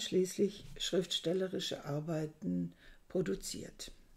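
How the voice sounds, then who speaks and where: Over a quiet background, a woman speaks with lively intonation in a somewhat breathy voice with a dark, mellow tone. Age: 60s. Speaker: book reviewer. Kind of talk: book review monologue. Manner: hesitant, with frequent fillers. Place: home room. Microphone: webcam.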